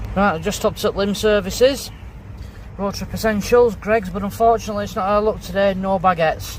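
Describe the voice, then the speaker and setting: Over noticeable background noise, a man talks at a very fast pace. His pitch is high. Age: 50s. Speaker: vlogger. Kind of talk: casual vlog chat. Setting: in a car and at a campsite. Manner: animated.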